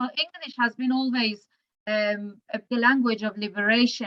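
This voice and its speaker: With an Iranian accent and a bright, sharp tone, the speaker keeps a fairly even intonation at a moderate pace, the sound dry and close with no echo. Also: woman. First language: Farsi. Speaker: poet. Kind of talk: casual chat. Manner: halting.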